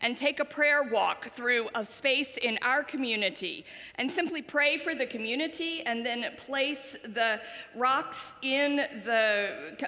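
A woman's raised, projected voice at a very slow pace, with ordinary pitch variation. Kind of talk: announcements and welcome to congregation. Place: church.

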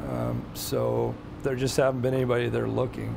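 Music plays behind a man's voice. He talks at a moderate pace. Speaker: biology professor. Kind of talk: interview answer. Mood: calm, enthusiastic.

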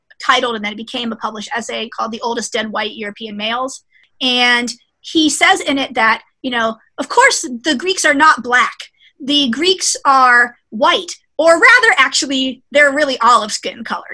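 Over a quiet background, a woman projects a raised voice with a bright, sharp tone, ordinary pitch variation and a moderate pace. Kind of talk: lecture. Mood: lively, sometimes laughing. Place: office.

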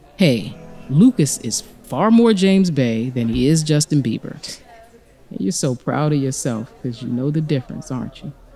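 Over music in the background, a woman's very deep, low voice moves through very wide pitch swings. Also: moderate pace. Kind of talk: audio drama narration. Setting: studio.

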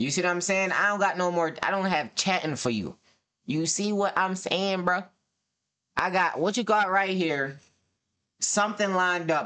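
A man with a high pitch and a bright, sharp tone projects a raised voice at very even loudness and a moderate pace, leaving long, frequent pauses against a quiet background. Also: ordinary pitch variation. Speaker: streamer. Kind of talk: casual reaction commentary. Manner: animated. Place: home room.

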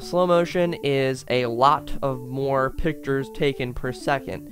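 Clear music plays in the background while a man speaks with ordinary pitch variation. The sound is dry, with no echo. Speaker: youtuber. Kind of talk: casual explainer vlog. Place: home room. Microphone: studio mic.

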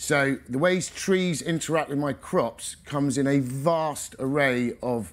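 This man has an unremarkable speaking voice, pitched fairly high with ordinary pitch variation. He talks at a fairly slow pace. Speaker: organic vegetable farmer; speaker. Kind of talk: conference talk. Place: tent.

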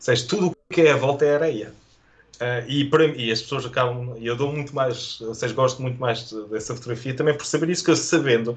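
A man with a European Portuguese accent speaks at a very fast pace in a somewhat breathy voice. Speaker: photojournalist. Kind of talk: interview conversation. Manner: halting, with many repetitions.

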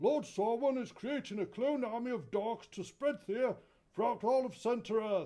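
Moderate-paced, extremely high-pitched put-on character voice from a man. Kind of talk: mock-epic fantasy speech. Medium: comedy sketch. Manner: grandiose, exasperated.

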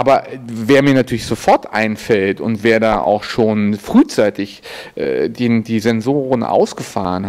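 Amid noticeable background noise, a man at a medium pitch talks at a fairly slow pace with ordinary pitch variation. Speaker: event host.

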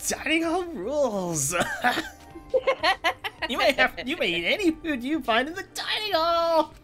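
Over clear background music, a woman speaks in a put-on character voice at a fairly slow pace, leaving long, frequent pauses. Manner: cheerful, mischievous.

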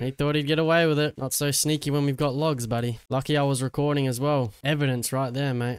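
A man with an Australian accent talks very fast at a fairly high pitch. He leaves hardly any pauses. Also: very even loudness. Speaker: gaming YouTuber. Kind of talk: gameplay commentary. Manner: animated.

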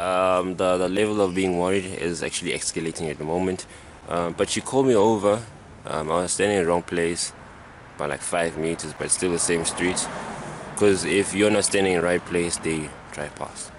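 A man with a very deep, low pitch, fairly even intonation and a fairly quick pace, dry sound with no echo, light background noise. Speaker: vlogger. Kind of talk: casual vlog chat. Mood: slightly worried, waiting. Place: street. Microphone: phone near.

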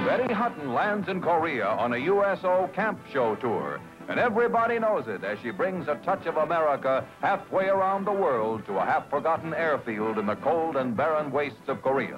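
A man's fairly high voice with very wide pitch swings and hardly any pauses, over background music. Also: moderate pace. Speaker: newsreel narrator. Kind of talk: newsreel narration.

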